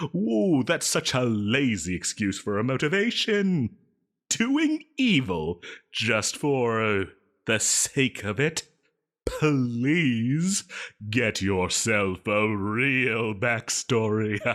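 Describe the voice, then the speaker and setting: A man speaks very slowly in a put-on character voice at a medium pitch, with lively intonation. The recording is very clean and the background silent. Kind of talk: audio roleplay. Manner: dramatic, theatrical.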